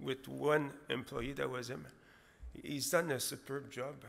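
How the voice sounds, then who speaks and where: At a moderate pace, a man is talking. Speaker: presenter. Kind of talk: conference presentation. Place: hall. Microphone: podium.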